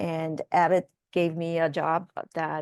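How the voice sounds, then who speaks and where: A woman with a Korean accent speaks at a fairly low pitch, recorded with a dry, close sound and no echo. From South Korea. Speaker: biotech executive. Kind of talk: interview.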